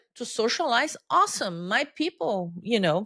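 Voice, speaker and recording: In a Brazilian Portuguese accent, a woman at medium pitch speaks at a moderate pace with lively intonation in a very clean recording with a silent background. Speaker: change-management consultant. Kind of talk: interview conversation. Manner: halting, repeats words.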